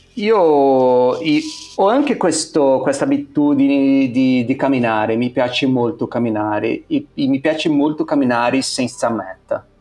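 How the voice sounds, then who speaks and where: In a Portuguese accent, the speaker goes at a very slow pace over noticeable background noise. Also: man. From Brazil. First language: Portuguese (speaking Italian). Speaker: photographer. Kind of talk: casual interview. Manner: halting, many repetitions.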